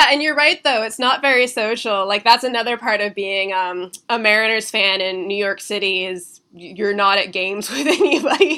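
A woman with an ordinary speaking voice talks at a moderate pace with lively intonation and hardly any pauses, in a very clean recording with a silent background. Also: fairly high pitch for a woman. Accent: American. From Washington State, Seattle area. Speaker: culture critic. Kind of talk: casual chat. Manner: casual, filler-heavy speech.

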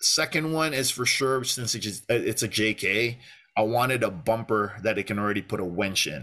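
The tone is bright and sharp, with ordinary pitch variation at a moderate pace. The background stays quiet. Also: man, medium pitch for a man. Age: 30s. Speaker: outdoor content creator. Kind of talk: casual interview chat.

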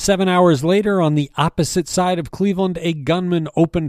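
Recorded very cleanly against a silent background, with a dry, close sound and no echo, a man speaks in a dark, mellow tone. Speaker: news briefing host and newspaper editor. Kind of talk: news reading, scripted morning news briefing. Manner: formal, steady, even-paced newsreader delivery; neutral and matter-of-fact, reading statistics and crime figures without emotion.

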